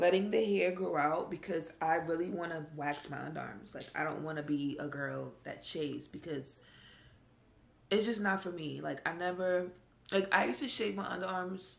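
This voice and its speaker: The woman's pitch is rather low, and her speed is moderate. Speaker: vlogger. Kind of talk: casual vlog chat. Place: home room. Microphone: phone near.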